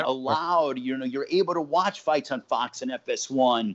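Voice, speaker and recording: An unremarkable speaking voice, its pitch varying in an ordinary way. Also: man. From Los Angeles, California. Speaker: ring announcer, play-by-play commentator, sports anchor. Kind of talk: casual interview answer.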